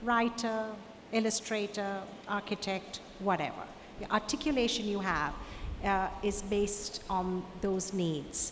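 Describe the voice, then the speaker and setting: At a fairly slow pace, a woman speaks at a medium pitch with ordinary pitch variation, and audible room echo surrounds her. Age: 60s. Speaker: artist. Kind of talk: Q&A at a conference talk.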